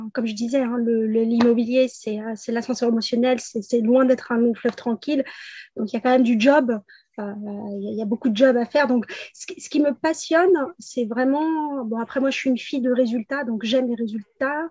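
Talking at a moderate pace, a woman has a high pitch, ordinary pitch variation and a dark, mellow tone. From Paris region, France. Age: 40s. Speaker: property investor. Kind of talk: interview.

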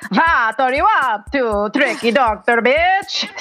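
This put-on character voice sounds female and is high-pitched, with a hissing quality. The pace is very slow. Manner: hissing, sly, taunting.

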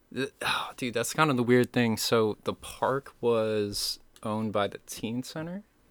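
A man with a medium-pitched, unremarkable speaking voice talks at a fairly slow pace with ordinary pitch variation. The recording is very clean, with a silent background and a dry, close sound with no echo. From Maine, US (midcoast, Camden). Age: 20s. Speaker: videographer and photographer. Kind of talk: casual chat. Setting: home studio.

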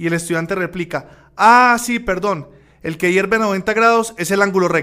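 A man with a high voice speaks in a raised, projected way, with ordinary pitch variation. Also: moderate pace. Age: 40s. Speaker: radio host. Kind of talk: educational radio show.

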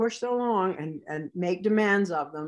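Speaking with an unremarkable speaking voice and a Canadian accent, a woman uses lively intonation at a medium pitch in a very clean recording with a silent background. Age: 60s. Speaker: sheepdog handler and trainer. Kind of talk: interview.

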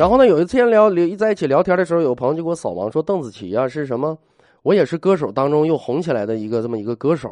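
A man with a fairly high pitch talks very fast in an animated tone, his pitch swinging very widely. The sound is dry and close with no echo. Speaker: radio host. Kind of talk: casual monologue.

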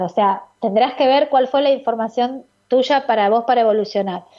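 A woman's fairly high voice with ordinary pitch variation, an unremarkable speaking voice. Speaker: radio host and biodecoding therapist. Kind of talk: radio call-in advice show. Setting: radio studio.

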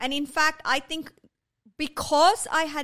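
The tone is bright and sharp, and the voice is raised and projected. Delivery is very slow. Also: woman. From India. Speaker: art therapy studio founder. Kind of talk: interview conversation.

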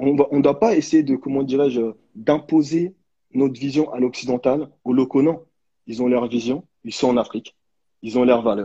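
A man with a fairly high pitch speaks at a moderate pace, using ordinary pitch variation and long, frequent pauses. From France, raised from age 11 after birth in DR Congo. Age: 30s. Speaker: association founder. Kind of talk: live video interview.

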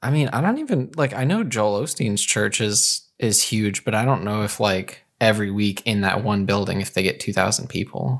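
This is a normal speaking voice with ordinary pitch variation. It moves at a moderate pace with hardly any pauses. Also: man, fairly low pitch for a man, very clean recording, silent background. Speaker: podcast co-host. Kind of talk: casual chat.

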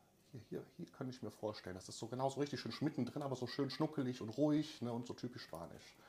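Very fast and hardly pausing, a man talks in a somewhat breathy voice. His pitch is medium, with ordinary variation. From Germany, Cologne-Düsseldorf area. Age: 30s. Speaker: emigrant telling his story. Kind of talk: casual interview.

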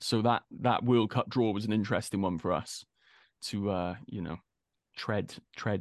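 With a Welsh accent, a man speaks at a moderate pace at a fairly low pitch, with vocal fry and fairly even intonation, against a quiet background. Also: dry, close sound with no echo. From Wales. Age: 30s. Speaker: actor. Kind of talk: casual interview.

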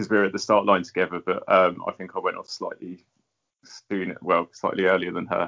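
The loudness rises and falls sharply, and the words come at a fairly quick pace. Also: man. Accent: English. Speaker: podcast co-host, ultrarunner. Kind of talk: casual chat.

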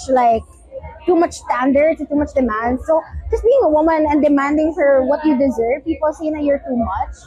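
There is noticeable background noise behind a woman with a high pitch. She speaks at a moderate pace with ordinary pitch variation. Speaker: honoree. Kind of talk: event interview. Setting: recognition dinner event.

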